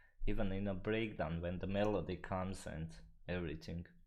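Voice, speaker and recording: A man speaks with a non-native accent at a moderate pace. Vocal fry runs through his voice. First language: not English. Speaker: music producer. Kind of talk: live-stream tutorial chat. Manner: casual, halting English.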